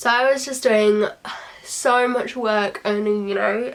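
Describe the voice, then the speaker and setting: Someone with a British accent speaks at a fairly slow pace with ordinary pitch variation. Noticeable background noise is present. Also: woman. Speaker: beauty vlogger. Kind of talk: casual chat.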